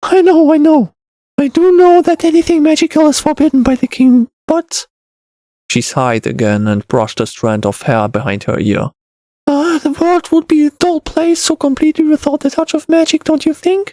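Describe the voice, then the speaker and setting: The voice is a put-on character voice. It sits at a high pitch. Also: moderate pace. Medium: read story. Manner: soft, warm, earnest.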